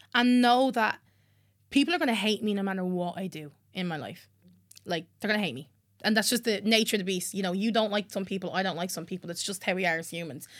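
On a very clean recording with a silent background, a woman talks at a very fast pace with a Dublin accent. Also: medium pitch for a woman, ordinary pitch variation. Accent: Irish (Dublin). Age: 20s. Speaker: singer-songwriter. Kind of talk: casual chat. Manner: loud laugh.

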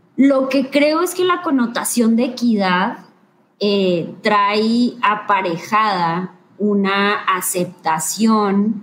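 A woman's somewhat breathy voice at medium pitch, very slow in pace, with lively intonation. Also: very even loudness. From northern Mexico, Ciudad Victoria, Tamaulipas. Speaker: lawyer and gender equity specialist. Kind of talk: live-streamed interview.

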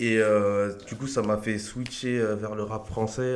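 The speech comes at a fairly slow pace in a flat monotone, with audible room echo. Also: man. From France, Argenteuil (Paris suburbs). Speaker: beatmaker. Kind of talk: casual interview.

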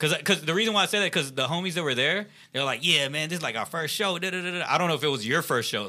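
In a very clean recording with a silent background, a man with an American accent speaks very fast at a fairly high pitch, using a bright, sharp tone, vocal fry and lively intonation. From Texas, Richmond near Houston. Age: 20s. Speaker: podcast host. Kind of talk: casual chat.

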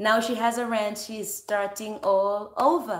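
A woman's fairly high-pitched, an ordinary speaking voice with fairly even intonation. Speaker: online service host. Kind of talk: welcoming greeting and prayer. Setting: online livestream.

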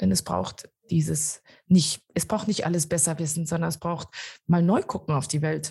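At a moderate pace, a woman with a very deep, low pitch, a dark, mellow tone and vocal fry speaks with ordinary pitch variation. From Germany. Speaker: innovation coach. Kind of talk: interview. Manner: halting, many fillers.

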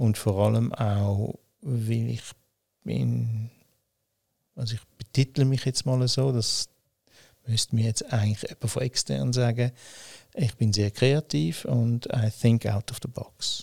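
Very slowly and with long, frequent pauses, a man speaks in a somewhat breathy voice of medium pitch and ordinary pitch variation, the sound dry and close with no echo. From Switzerland, Winterthur. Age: 60s. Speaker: company founder. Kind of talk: interview. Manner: halting, many fillers.

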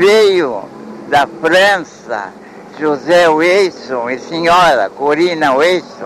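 A man talks at a very slow pace with lively intonation. Noticeable background noise runs underneath. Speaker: elderly local historian. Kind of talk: oral history interview.

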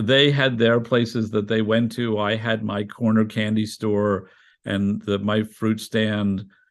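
Very slowly and with monotone, flat intonation, a man talks in a fairly low voice with a New York accent. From New York City, Greenwich Village. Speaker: journalist and architecture critic. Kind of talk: interview.

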